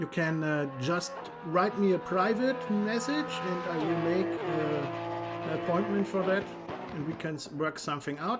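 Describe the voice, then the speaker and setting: Someone speaks with a German accent at a fairly slow pace as music plays in the background. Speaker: sim racing commentator. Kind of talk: live commentary. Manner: halting.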